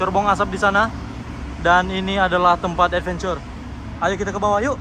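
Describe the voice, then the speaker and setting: A raised, projected voice moves at a fairly quick pace over noticeable background noise. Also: man, high pitch for a man. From North Sumatra, Indonesia. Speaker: vlogger, cruise ship crew member. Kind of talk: travel vlog. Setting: outdoors on cruise ship open deck. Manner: animated. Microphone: no microphone, may sound poor.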